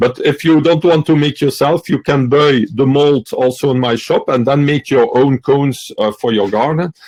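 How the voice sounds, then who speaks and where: A man with a non-native accent speaks at a moderate pace with hardly any pauses, very even loudness, and ordinary pitch variation, in a dry, close sound with no echo. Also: fairly high pitch for a man. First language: not English. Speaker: electroculture expert and seller. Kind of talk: interview. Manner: halting, many fillers.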